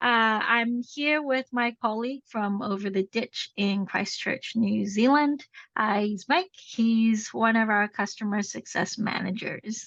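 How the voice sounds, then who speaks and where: A woman with a Canadian accent has an ordinary speaking voice, fairly high in pitch with ordinary pitch variation. She talks at a fairly slow pace with hardly any pauses, in a dry, close sound with no echo. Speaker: implementation consultant. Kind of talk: webinar presentation.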